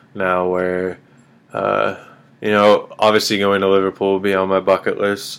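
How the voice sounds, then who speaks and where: A man with a Midwestern accent speaks at a moderate pace. His pitch is very deep and low, and his intonation is monotone and flat. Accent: General American (Midwest). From US Midwest, Kansas City. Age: 30s. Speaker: podcast host. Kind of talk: casual chat.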